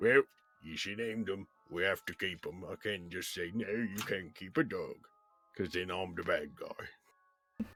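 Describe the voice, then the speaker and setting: A man's raspy, put-on character voice, fairly low in pitch, at a moderate pace over background music. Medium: actual play. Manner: rambling, warm.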